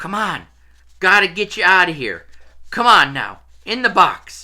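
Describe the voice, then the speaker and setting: A hoarse, put-on character voice sits at a middle pitch. It moves at a moderate pace. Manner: urgent.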